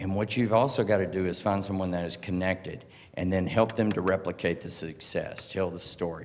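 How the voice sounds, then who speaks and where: A man speaks in a Southern US accent at a fairly low pitch. Audible room echo surrounds his voice. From US South. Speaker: open source advocate. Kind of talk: conference talk. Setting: stage with audience. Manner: casual, joking.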